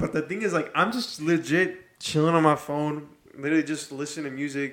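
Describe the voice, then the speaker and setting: With a plain, everyday voice, a man speaks at a moderate pace and a fairly high pitch. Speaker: podcast co-host. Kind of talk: casual chat.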